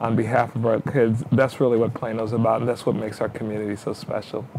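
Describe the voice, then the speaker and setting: A man speaks with an American accent. Light background noise is present. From New York. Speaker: city mayor. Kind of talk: interview. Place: studio.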